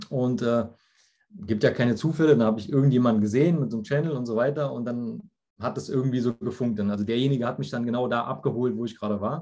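In a dark, mellow tone, a man delivers his words very fast. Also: medium pitch for a man, ordinary pitch variation. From Germany, near Frankfurt (Hesse). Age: 30s. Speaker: insurance agent and yoga teacher. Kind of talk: casual interview. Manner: hesitant, many fillers.

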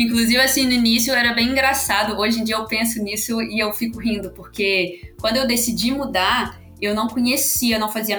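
Over music in the background and audible room echo, a woman with a Minas Gerais accent talks at a fairly quick pace, her fairly high voice keeping a fairly even intonation. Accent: mineiro accent, noticeable. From Belo Horizonte, Minas Gerais, Brazil. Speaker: product manager. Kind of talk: podcast interview.

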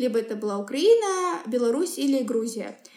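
Over noticeable background noise, a woman speaks at a moderate pace in a high voice with very wide pitch swings. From Kazakhstan, Semey. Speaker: human rights professional. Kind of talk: interview. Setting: podcast recording.

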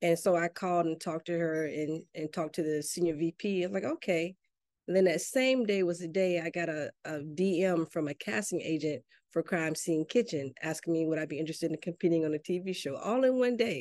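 In a dry, close recording with a quiet background, a woman with a Southern US accent talks at a fairly quick pace in a fairly low voice with ordinary pitch variation. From US South, Mississippi. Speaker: army veteran and chef, small business owner. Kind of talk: interview.

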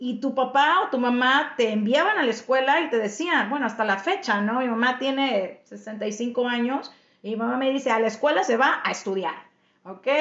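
The speaker has a Mexican accent and a moderate pace. The intonation is lively. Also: woman, high pitch for a woman. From Mexico. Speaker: podcast host and Spanish teacher. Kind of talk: casual chat.

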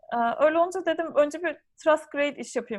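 A woman's lively intonation carries at a moderate pace over a quiet background. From Turkey. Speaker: psychiatry trainee doctor. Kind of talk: interview. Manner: hesitant, many fillers.

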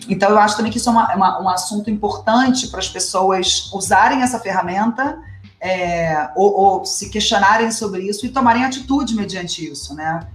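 Noticeable background noise and audible room echo surround a woman of medium pitch, with ordinary pitch variation. She keeps a moderate pace with hardly any pauses. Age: 30s. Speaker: podcast co-host. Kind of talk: casual chat.

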